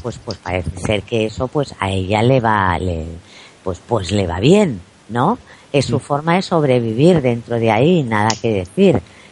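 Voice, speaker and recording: A woman's pitch swings very widely as she talks at a fairly slow pace. Noticeable background noise is present. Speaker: celebrity journalist and TV pundit. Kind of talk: interview. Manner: calm, not shrill.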